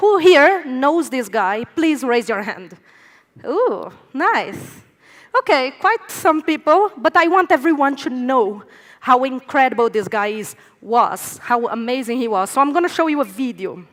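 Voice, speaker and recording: Speaking at a fairly slow pace, a woman with a Brazilian accent and a high pitch lets her pitch swing very widely. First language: Portuguese. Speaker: speaker at a conference, foundation operations head. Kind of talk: conference talk. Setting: stage with audience.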